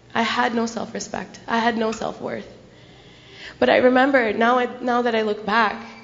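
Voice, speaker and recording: A woman's fairly high, monotone voice with an American accent, flat in intonation, at a moderate pace amid audible room echo. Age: young. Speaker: speaker sharing personal story at gurdwara. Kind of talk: testimony. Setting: gurdwara gathering with audience.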